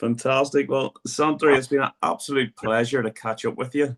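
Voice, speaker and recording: In a Northern Irish accent, a man speaks at a moderate pace. The sound is dry and close, with no echo. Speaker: football coach, podcast host. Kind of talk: podcast interview.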